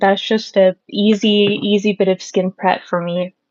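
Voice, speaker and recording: This is a woman with a medium pitch. She talks at a fairly slow pace. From Southern California. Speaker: makeup live streamer. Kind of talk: casual live stream chat. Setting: live stream. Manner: casual, hesitant with fillers.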